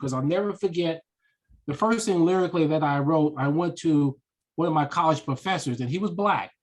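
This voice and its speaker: A man with a fairly high voice talks at a moderate pace. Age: 60s. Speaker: author and speaker. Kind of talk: interview conversation. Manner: animated storytelling.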